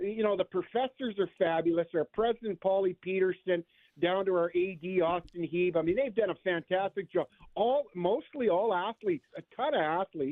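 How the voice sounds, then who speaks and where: With a Canadian accent, a man speaks at a high pitch and a moderate pace, with ordinary pitch variation and very even loudness. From western Canada (Okanagan, British Columbia). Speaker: university hockey coach. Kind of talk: radio interview.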